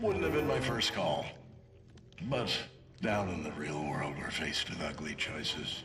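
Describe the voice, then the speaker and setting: Man in a put-on character voice, fairly low in pitch, with clear background noise. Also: moderate pace. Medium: short film. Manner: sardonic, eerily calm.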